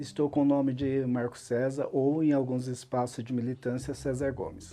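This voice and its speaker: Using a dark, mellow tone, a man speaks at a moderate pace with fairly even intonation. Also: medium pitch for a man. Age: 60s. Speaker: social worker and carnival dancer. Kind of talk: documentary interview.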